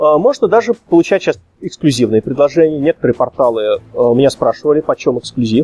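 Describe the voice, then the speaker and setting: Speaking at a fairly quick pace, a man with a fairly high pitch and a dark, mellow tone uses lively intonation, keeping his loudness very even in a dry, close sound with no echo. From Russia, Samara. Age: 30s. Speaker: game developer, programmer. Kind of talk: podcast interview.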